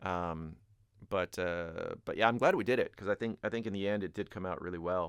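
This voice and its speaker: A man speaks at a fairly quick pace with fairly even intonation. His pitch is fairly low, and the background is quiet. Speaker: rock band singer and songwriter. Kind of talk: casual explanation of a song. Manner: hesitant, many fillers.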